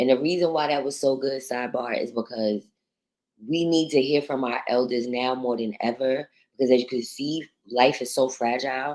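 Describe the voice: A woman speaks at a moderate pace in an extremely low pitch, with ordinary pitch variation. Her tone is slightly mellow.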